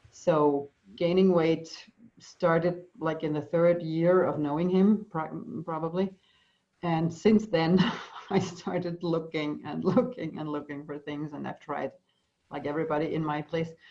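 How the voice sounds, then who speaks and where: A woman with a German accent speaks at a fairly slow pace, her fairly low pitch kept in fairly even intonation. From Austria. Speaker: EFT practitioner. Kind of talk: interview. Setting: video call. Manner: halting.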